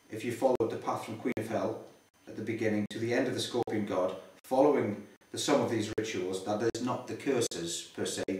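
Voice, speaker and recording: A man talks at a fairly quick pace with fairly even intonation. Audible room echo surrounds his voice. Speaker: interviewee. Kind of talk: interview answer. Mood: earnest, explanatory. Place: home room. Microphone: camera far.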